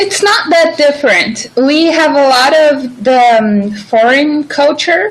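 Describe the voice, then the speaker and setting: A woman with a Brazilian accent speaks fairly slowly at a high pitch. Her intonation is lively. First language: Portuguese. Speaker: YouTuber. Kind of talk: casual chat.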